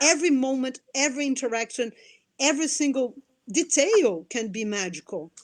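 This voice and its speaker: A woman speaks at a moderate pace in a high voice, her intonation lively. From Brazil. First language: Portuguese. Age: 40s. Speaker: anthropologist and nonprofit director. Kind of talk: interview. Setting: live video stream. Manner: animated; repeats words, halting starts.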